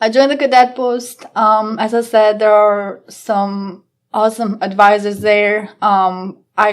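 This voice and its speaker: In a non-native accent, a woman speaks at a fairly high pitch and fairly slow pace with monotone, flat intonation. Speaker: police officer. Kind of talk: casual interview chat.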